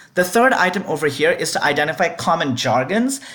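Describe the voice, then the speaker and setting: A woman with a non-native accent, fairly low pitch and a fairly quick pace. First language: not English. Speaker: debate adjudicator. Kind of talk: instructional video.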